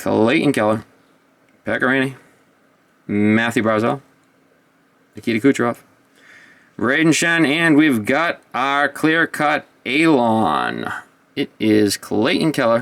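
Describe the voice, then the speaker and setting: Very slow and full of long, frequent pauses, a man's speech sits at a medium pitch with ordinary pitch variation. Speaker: hockey card box-opening YouTuber. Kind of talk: card unboxing commentary.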